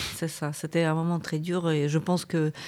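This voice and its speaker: This woman speaks at a fairly slow pace in a very deep, low pitch with a dark, mellow tone. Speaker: podcast host, academic and journalist. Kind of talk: interview conversation.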